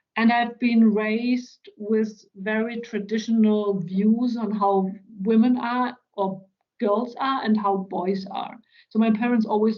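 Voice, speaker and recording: Talking at a fairly slow pace, a woman with a German accent has a fairly high pitch and monotone, flat intonation. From central Germany, rural. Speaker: business executive. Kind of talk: interview talk.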